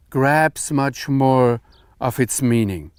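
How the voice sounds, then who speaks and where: In a dry, close sound with no echo, a man speaks at a very slow pace with a German accent. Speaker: Bible teacher. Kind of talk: lecture.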